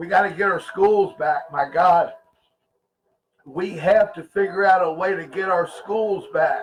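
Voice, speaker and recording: Loud and animated, a man shouts in a high pitch at a fairly slow pace. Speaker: conspiracy livestream host. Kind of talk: livestream talk to chat viewers. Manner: loud, sounds like yelling; animated, emphatic.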